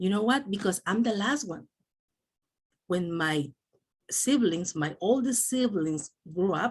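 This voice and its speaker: The speaker talks at a fairly slow pace, with long, frequent pauses. The voice is somewhat breathy, and the intonation is lively. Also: woman, medium pitch for a woman. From El Salvador. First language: Spanish. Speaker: doctor and network marketing speaker. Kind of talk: motivational talk.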